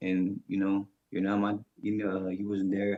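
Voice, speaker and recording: A man with a fairly low voice speaks with an American accent. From US West Coast, San Francisco Bay Area. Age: 50s. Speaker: former prisoner. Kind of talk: interview. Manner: fast.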